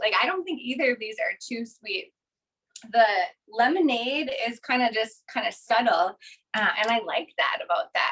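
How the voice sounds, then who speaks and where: A woman talks in a Minnesota accent with an animated tone. Her voice is high-pitched, bright and sharp. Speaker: kitchenware sales consultant. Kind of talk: product demonstration.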